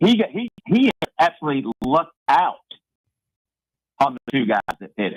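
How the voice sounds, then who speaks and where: Recorded dry and close with no echo, a man with a fairly high pitch and vocal fry swings very widely in pitch, speaking at a moderate pace with long, frequent pauses. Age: 60s. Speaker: sports radio caller. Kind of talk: sports talk radio call.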